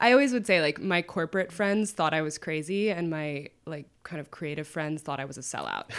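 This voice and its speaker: A woman with a normal speaking voice talks at a fairly quick pace, with hardly any pauses. Her pitch is fairly low and her intonation is lively. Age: 20s. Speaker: anonymous internet writer. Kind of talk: casual chat.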